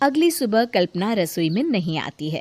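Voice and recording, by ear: A woman speaks at a medium pitch and a moderate pace, with big pitch swings. Her tone is slightly mellow, and the sound is dry and close with no echo.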